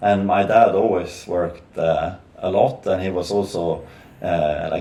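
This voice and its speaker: Amid audible room echo and noticeable background noise, a man delivers his words at a fairly slow pace. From northern Sweden. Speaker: podcast guest, businessman. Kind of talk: casual chat. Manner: halting, many fillers.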